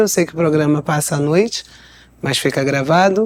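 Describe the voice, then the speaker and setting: Against noticeable background noise, a woman with a Rio de Janeiro accent speaks at a fairly low pitch with fairly even intonation. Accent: carioca accent, noticeable. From Rio de Janeiro state, Brazil. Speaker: lawyer and missionary. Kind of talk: interview testimony.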